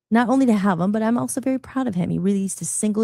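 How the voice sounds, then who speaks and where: A somewhat breathy, dark, mellow voice at a very fast pace with lively intonation, on a very clean recording with a silent background. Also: woman. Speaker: podcast host. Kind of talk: casual interview chat. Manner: talkative.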